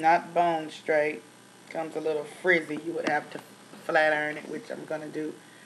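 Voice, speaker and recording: Over noticeable background noise, a woman with a Tennessee accent speaks fairly slowly in a fairly low voice. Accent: country (Tennessee). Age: 30s. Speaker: beauty vlogger. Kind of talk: product review vlog. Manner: casual, many fillers.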